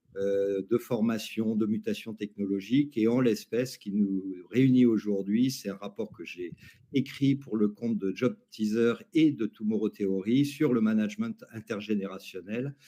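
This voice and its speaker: In a normal speaking voice, a man talks fairly slowly at a fairly low pitch with ordinary pitch variation. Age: 60s. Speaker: academic and labour market expert. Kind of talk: webinar panel discussion. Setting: online webinar.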